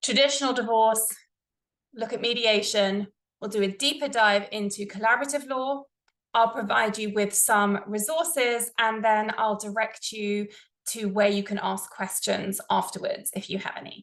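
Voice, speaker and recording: A woman with a British accent speaks at a moderate pace, her fairly high pitch held in fairly even intonation. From England, London. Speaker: family lawyer. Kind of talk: presentation. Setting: online presentation with screen share.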